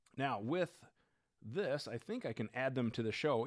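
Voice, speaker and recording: A man with an American accent uses a normal speaking voice, fairly high in pitch, at a moderate pace. The recording is very clean, with a silent background. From Minnesota. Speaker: firearms podcast host. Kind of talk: live-streamed Q&A with viewer comments. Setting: live stream, studio with new microphone. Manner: casual, conversational.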